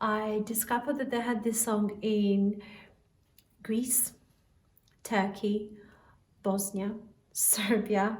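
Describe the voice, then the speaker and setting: Speech comes at a very slow pace with long, frequent pauses and monotone, flat intonation, and audible room echo surrounds it. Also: woman, fairly high pitch for a woman. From Albania. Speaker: singer. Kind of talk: spoken introduction to a song.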